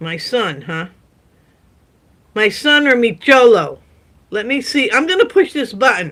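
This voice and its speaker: A high-pitched woman at a fairly slow pace, with very wide pitch swings and long, frequent pauses, on a very clean recording with a silent background. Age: 70s. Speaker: live streamer. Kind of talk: casual live stream chat. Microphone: sound issues at stream start.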